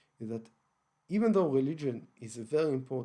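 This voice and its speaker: A man with an Israeli accent speaks at a fairly high pitch in a dark, mellow tone with lively intonation. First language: Hebrew. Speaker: online broadcaster on religion and history. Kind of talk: lecture-style monologue broadcast. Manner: halting, many fillers and restarts.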